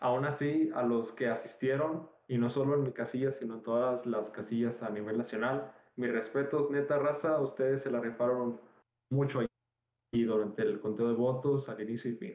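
At a moderate pace and medium pitch, a man speaks with fairly even intonation. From Mexico, Nuevo León. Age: young. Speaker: podcast co-host. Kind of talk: casual chat. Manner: halting, many fillers.

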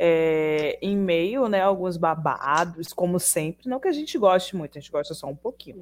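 This woman talks at a moderate pace in a normal speaking voice, fairly low in pitch, with lively intonation, big swings in loudness and hardly any pauses. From Pojuca, Bahia, Brazil. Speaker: podcast co-host, student and writer. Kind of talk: casual chat.

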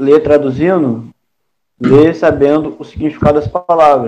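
Fairly slow and fairly even in intonation, a man speaks in a dark, mellow tone with a fairly high pitch. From Brazil. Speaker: student in an English study group. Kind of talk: study group session.

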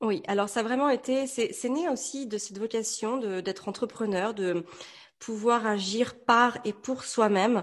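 In a quiet background, a woman with an unremarkable speaking voice talks at a fairly slow pace and fairly high pitch with ordinary pitch variation. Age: 30s. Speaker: entrepreneur and mother. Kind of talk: interview.

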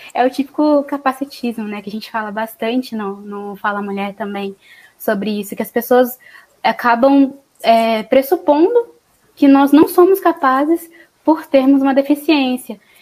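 This woman's high-pitched voice shows ordinary pitch variation. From Espírito Santo, Brazil. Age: 20s. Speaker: psychologist and podcast host. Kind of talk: casual chat.

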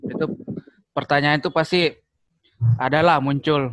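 A man's fairly high-pitched voice in a Makassar accent. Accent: Makassar-accented Indonesian. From Makassar, South Sulawesi, Indonesia. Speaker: married man, guest.

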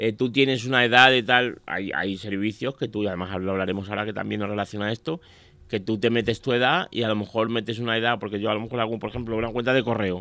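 Very fast male speech with ordinary pitch variation, medium in pitch. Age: 40s. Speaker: radio pundit on office and business topics. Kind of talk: casual radio chat. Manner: halting.

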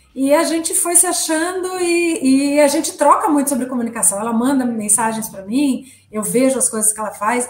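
A woman's high-pitched, lively-intoned voice at a moderate pace, with noticeable background noise. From Brazil, São Paulo. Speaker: communication strategist. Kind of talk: interview. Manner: halting.

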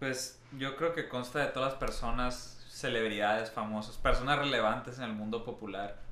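Audible room echo surrounds a man speaking at medium pitch. His pace is moderate and his intonation fairly even. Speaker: podcast co-host. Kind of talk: casual chat.

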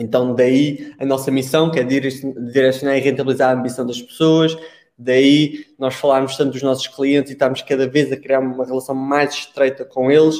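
A man's medium-pitched voice, flat and monotone, at a moderate pace. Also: hardly any pauses. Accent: European Portuguese. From Portugal. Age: 20s. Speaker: e-commerce marketing consultant. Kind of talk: casual interview conversation.

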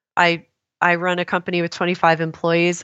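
A woman with an American accent speaks at a moderate pace in a fairly low pitch, a plain, everyday voice. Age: 50s. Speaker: wellness author and entrepreneur. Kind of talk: interview conversation.

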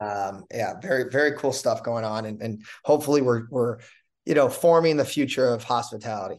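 In an ordinary speaking voice, a man with an American accent talks at a fairly quick pace and a medium pitch. His pitch varies in an ordinary way over a quiet background. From Chicago. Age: 40s. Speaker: restaurant entrepreneur. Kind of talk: interview.

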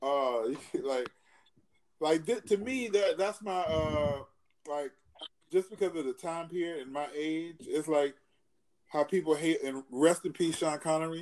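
Fairly high-pitched male voice at a fairly slow pace, with ordinary pitch variation and long, frequent pauses. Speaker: podcast host. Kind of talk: casual podcast chat.

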